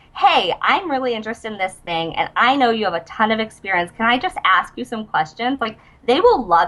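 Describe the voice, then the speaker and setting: Through noticeable background noise, a woman's fairly high voice makes very wide pitch swings. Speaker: entrepreneur, online education founder. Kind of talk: interview. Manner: fast, casual with many fillers.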